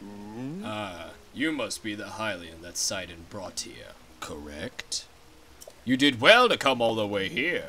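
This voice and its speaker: Using a put-on character voice, a man talks at a fairly slow pace and medium pitch over clear background noise. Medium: game stream. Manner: stately.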